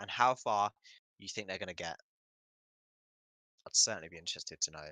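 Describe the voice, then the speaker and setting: Man with a British accent and very deep, low pitch, ordinary pitch variation, a very fast pace and big swings in loudness. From Britain. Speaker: football watchalong streamer. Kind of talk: live commentary. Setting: live stream. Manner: casual, chatty.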